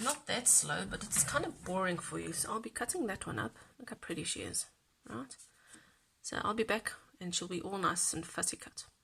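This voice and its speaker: A woman at a medium pitch speaks at a fairly quick pace with very wide pitch swings, over noticeable background noise. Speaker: crafting youtuber. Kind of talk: tutorial. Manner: soft-spoken.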